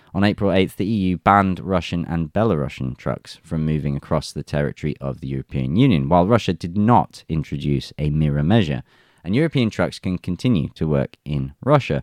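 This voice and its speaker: In a dry, close sound with no echo, a man with an English accent speaks fairly quickly in a very deep, low voice with lively intonation. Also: quiet background. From England. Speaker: news commentary channel host. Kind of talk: reading news articles aloud with commentary.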